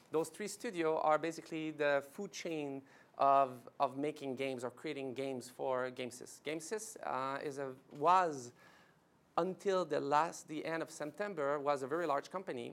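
Speaking with a French Canadian accent at a moderate pace, a man with a fairly high pitch and fairly bright tone shows ordinary pitch variation.

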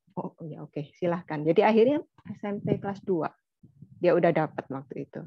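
A plain, everyday voice moves at a fairly quick pace with ordinary pitch variation and big swings in loudness, in a dry sound with no echo and a quiet background. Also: woman, fairly low pitch for a woman. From Indonesia, Chinese-Indonesian family. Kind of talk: casual discussion. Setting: video call. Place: home room. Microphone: video call.

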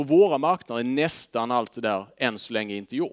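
Against a quiet background, a man speaks at a fairly quick pace. His intonation is lively. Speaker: fund manager; presenter. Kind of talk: presentation to audience. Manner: hesitant fillers. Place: meeting room. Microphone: headset.

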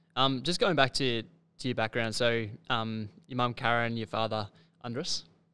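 In an Australian accent, a man with a bright, sharp tone speaks at a moderate pace with fairly even intonation. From Victoria, Australia. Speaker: podcast host. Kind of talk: podcast interview. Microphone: studio mic.

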